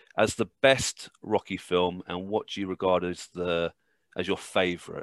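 Against a quiet background, a man with a British accent speaks in a bright, sharp tone. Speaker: podcast host. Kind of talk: casual podcast chat.

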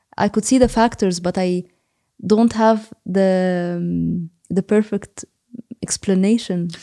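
A woman with an Egyptian accent speaks at a very slow pace with long, frequent pauses, her medium-pitched voice dark and mellow in tone with fairly even intonation, in a dry, close sound with no echo. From Egypt, Cairo. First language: Arabic. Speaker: psychology researcher and lecturer. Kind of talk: interview. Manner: halting, many fillers.

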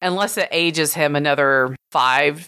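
On a very clean recording with a silent background, a woman with a Texan accent has a very deep, low pitch, a bright, sharp tone and ordinary pitch variation. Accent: Texan American. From rural Texas. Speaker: podcast host, horror film critic. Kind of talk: casual chat.

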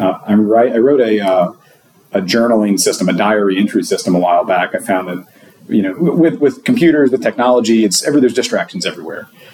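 A man talking very fast, noticeable background noise behind him. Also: medium pitch for a man, lively intonation. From Louisiana. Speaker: site reliability engineer. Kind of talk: casual interview. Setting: at a conference.

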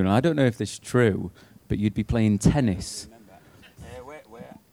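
This man speaks with an English accent at a fairly low pitch. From Britain. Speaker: former pro cyclist. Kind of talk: live on-stage chat. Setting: stage with live audience.

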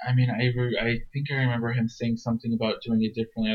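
Words come from a man at a very fast pace. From US, Iraqi immigrant family. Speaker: podcast guest. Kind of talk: interview.

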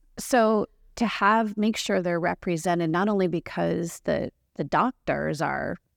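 A woman with a normal speaking voice talks at a fairly slow pace with ordinary pitch variation, recorded very cleanly with a silent background and a dry, close sound with no echo. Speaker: marketing executive in healthcare. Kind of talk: casual interview chat. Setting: conference symposium.

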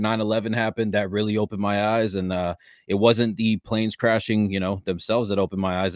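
A man speaks very fast in a fairly low voice. The recording is very clean and dry, close with no echo, over a silent background. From Canada, Ontario. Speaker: podcast host. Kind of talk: casual interview.

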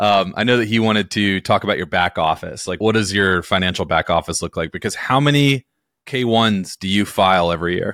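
This is an unremarkable speaking voice: a man with an American accent, pitched fairly low for a man. He talks at a fairly quick pace with ordinary pitch variation. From North Carolina. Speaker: podcast host, accountant. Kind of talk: interview. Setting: video call.

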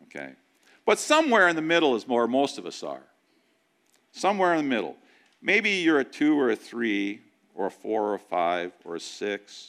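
A man with a medium-pitched voice speaks at a moderate pace, his pitch swinging very widely and his loudness rising and falling sharply, with long, frequent pauses on a very clean recording with a silent background. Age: 60s. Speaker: pastor. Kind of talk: sermon. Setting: church.

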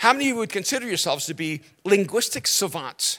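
A man with an American accent speaks in a raised, projected voice that is high in pitch, bright and sharp in tone, with lively intonation, on a very clean recording with a silent background. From United States, born in El Salvador. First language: Spanish. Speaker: pastor and author. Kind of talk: sermon. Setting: church stage with audience.

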